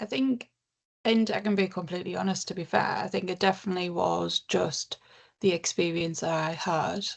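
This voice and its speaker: A woman with a northern English accent speaks at a moderate pace. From northern England. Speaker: counsellor and charity CEO. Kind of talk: interview.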